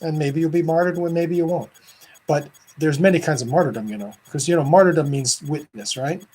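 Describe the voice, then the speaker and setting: At a very fast pace, a man speaks in a fairly high voice with ordinary pitch variation. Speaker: Orthodox priest. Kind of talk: casual video talk. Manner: animated.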